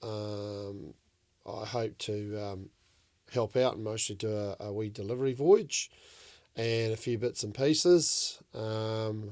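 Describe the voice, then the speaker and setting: In a New Zealand accent, a man talks at a very slow pace and fairly low pitch with ordinary pitch variation and big swings in loudness. The recording is very clean, with a silent background. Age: 60s. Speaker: commercial fishing skipper. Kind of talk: casual chat.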